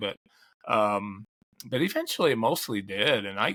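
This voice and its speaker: A man's bright, sharp voice with very wide pitch swings at a moderate pace, on a very clean recording with a silent background. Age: 60s. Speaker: ultrarunning historian and author. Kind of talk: casual interview chat. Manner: halting, many false starts.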